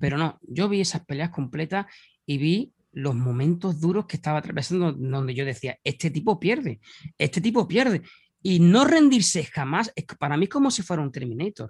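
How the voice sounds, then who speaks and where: In an Andalusian accent, a man speaks at a high pitch with very wide pitch swings. The sound is dry and close with no echo, over a quiet background. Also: moderate pace. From Andalusia, Spain (Huelva). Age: 40s. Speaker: mixed martial arts commentator and author. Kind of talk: casual interview.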